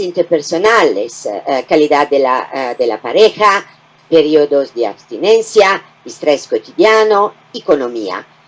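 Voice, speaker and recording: A woman speaks at a very slow pace in an Italian accent, her voice carrying vocal fry. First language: Italian (speaking Spanish). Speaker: gynecology professor. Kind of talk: lecture.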